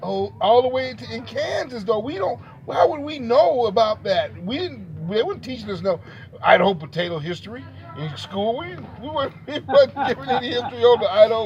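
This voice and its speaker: Amid noticeable background noise, a man with an American accent talks fairly fast in a high voice, swinging very widely in pitch and sharply in loudness. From Texas. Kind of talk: casual conversation.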